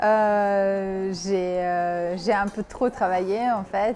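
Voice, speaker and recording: A woman speaking at a very slow pace. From Bosnia. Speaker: university worker. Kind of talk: interview testimony.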